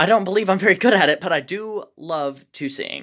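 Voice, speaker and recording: In a very clean recording with a silent background, a woman speaks at a fairly slow pace. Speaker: vlogger. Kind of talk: casual vlog monologue. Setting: in a shed. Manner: slow, careful; halting, many fillers.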